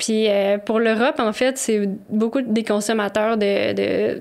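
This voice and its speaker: With a Quebec accent, a woman speaks at a fairly high pitch. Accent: Québécois French. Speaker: co-founder of a herbal tea company. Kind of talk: podcast interview.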